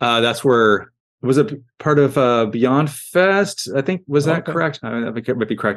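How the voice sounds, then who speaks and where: A man with an unremarkable speaking voice and a medium pitch talks at a fairly quick pace against a quiet background. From US Midwest (Iowa and Missouri). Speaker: creature actor. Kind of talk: casual interview. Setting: video call.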